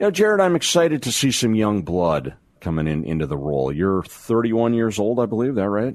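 A man with an American accent talks at a fairly quick pace in a fairly low voice with very wide pitch swings, against noticeable background noise. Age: 50s. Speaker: radio host. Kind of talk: talk radio interview.

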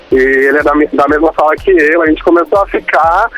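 Moderately paced speech from a man, set against music in the background. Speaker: caller. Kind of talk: phone call-in chat. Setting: phone call.

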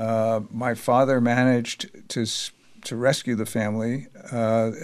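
A man with an American accent speaks in a monotone, with flat intonation. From New York. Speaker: publisher and journalist. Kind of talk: interview. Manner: halting.

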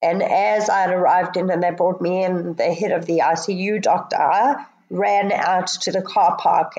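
A woman's medium-pitched voice at a moderate pace, with very even loudness, fairly even intonation and noticeable background noise. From South Africa, Johannesburg. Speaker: drowning survivor. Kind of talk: personal story in interview.

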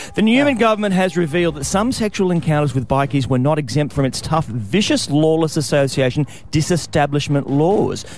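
Against noticeable background noise, a man with an Australian accent and a fairly high pitch talks at a fairly quick pace with lively intonation and hardly any pauses. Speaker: radio host. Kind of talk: casual chat; news reading.

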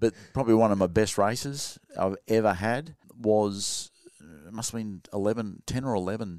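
A man speaks with an Australian accent at a moderate pace, his pitch fairly low and ordinarily varied. The recording is very clean, with a silent background. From Sydney, Australia. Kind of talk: casual interview.

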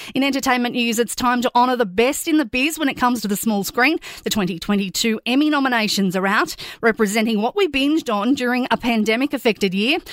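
In an Australian accent, a woman speaks very fast in a high pitch with lively intonation and very even loudness, the sound dry and close with no echo and the recording very clean over a silent background. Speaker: news presenter. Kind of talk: news bulletin reading. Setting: studio. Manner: brisk, clear, even-toned.

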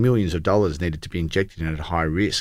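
A man speaks with an Australian accent and fairly even intonation. The recording is very clean, with a silent background. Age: 40s. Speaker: accountant and entrepreneur. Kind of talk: interview.

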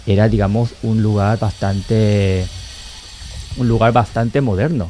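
A man's dark, mellow voice, fairly low in pitch, at a fairly slow pace with fairly even intonation. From Latin America, Korean parents. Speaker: author and podcaster on Korea. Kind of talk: casual chat.

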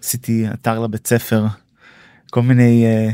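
Silent background, very clean recording, and a voice of dark, mellow tone. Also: man. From Israel. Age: 30s. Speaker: tech startup co-founder and CTO. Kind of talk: podcast interview. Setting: studio.

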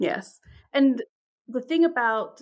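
A woman with a New York accent and lively intonation, on a very clean recording with a silent background. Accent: American (New York). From New York, of English birth. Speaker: professor of religious studies. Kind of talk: interview. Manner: halting, frequent fillers and repetitions.

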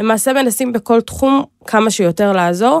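On a very clean recording with a silent background and a dry, close sound with no echo, a woman with a plain, everyday voice speaks at medium pitch with ordinary pitch variation. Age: 20s. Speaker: government innovation agency program manager. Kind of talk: interview.

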